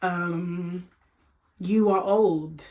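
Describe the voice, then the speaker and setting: In a Congolese accent, a woman speaks with ordinary pitch variation. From Democratic Republic of Congo heritage. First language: Lingala. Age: 20s. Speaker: lifestyle vlogger. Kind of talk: casual chat.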